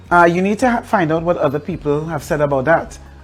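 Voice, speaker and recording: Against music in the background, a woman talks at a very fast pace. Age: 60s. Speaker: pastor and author. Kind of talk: interview testimony. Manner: halting.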